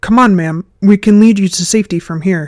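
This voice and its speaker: Put-on character voice, female-sounding, at a medium pitch for a woman and a fairly quick pace. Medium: read story. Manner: urgent, hurried.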